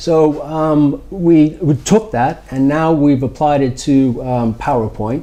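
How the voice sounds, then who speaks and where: Lively intonation marks this voice with an American accent. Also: man. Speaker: startup founder or executive. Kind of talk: interview. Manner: hesitant, many fillers.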